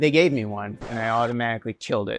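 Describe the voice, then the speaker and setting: A man's voice sounds dry with no echo, and faint music plays in the background. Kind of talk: interview answer. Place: home room. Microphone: lapel.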